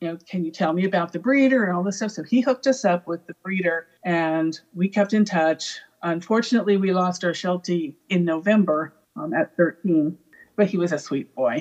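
Speaking at a moderate pace with an American accent, a woman has a plain, everyday voice, a fairly low pitch and ordinary pitch variation. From California. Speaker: army veteran, former Russian linguist. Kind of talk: casual chat.

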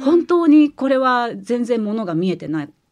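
Against a quiet background, a woman with a high pitch talks at a fairly slow pace, her voice making very wide pitch swings. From Kansai, Japan. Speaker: writer and former truck driver. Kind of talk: interview.

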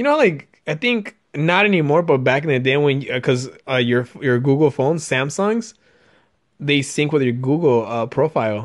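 Speaking fairly slowly in an animated tone, the speaker has a non-native accent against a quiet background. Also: man. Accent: foreign-accented English. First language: not English. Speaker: podcast host. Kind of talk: casual chat.

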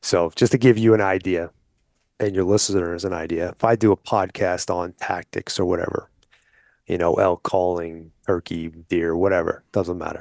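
Someone with an American accent speaks at a moderate pace with fairly even intonation, the sound dry and close with no echo over a quiet background. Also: man, very deep, low pitch for a man. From New York (Brooklyn and Long Island). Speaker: hunting outfitter and wildlife advocacy group vice president. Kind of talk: casual interview.

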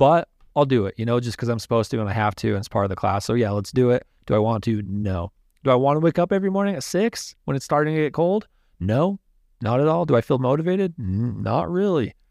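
Against a quiet background, a voice with an American accent races at a very fast pace with very wide pitch swings. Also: man, medium pitch for a man, dry, close sound with no echo. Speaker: podcast guest. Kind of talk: casual chat.

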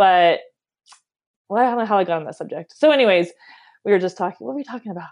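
A woman's medium-pitched voice with an American accent, very fast pace, long, frequent pauses and big swings in loudness. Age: 40s. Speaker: professional marathon runner. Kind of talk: interview. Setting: phone call.

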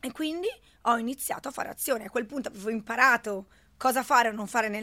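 A woman talking at a very fast pace. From Italy, schooled in Switzerland from 14. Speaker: network marketing entrepreneur. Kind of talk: interview. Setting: studio.

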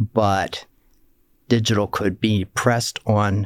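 A man with an American accent, fairly low in pitch, ordinary pitch variation, dry, close sound with no echo, very clean recording and silent background. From Pennsylvania, Lancaster County. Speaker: entrepreneur and philanthropist. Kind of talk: interview.

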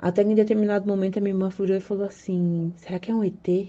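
A woman talks very fast in a dark, mellow tone at a medium pitch. Her intonation stays monotone and flat. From São Paulo, Brazil. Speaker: listener sharing a story. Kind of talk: recorded personal story.

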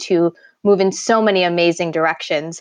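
Against a quiet background, a woman with an American accent talks in an unremarkable speaking voice, fairly low in pitch with fairly even intonation. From New York. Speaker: podcast co-host and life coach. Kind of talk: casual interview chat.

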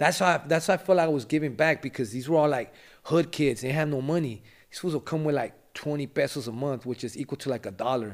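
In an American accent, a man talks at a very fast pace with ordinary pitch variation, on a very clean recording with a silent background. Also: fairly high pitch for a man. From Los Angeles, West Adams. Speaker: rapper and former gang member. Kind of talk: casual interview, life story.

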